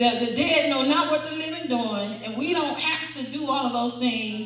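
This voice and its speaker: The voice shows ordinary pitch variation, with audible room echo. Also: woman. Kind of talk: sermon. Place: church. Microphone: camera far.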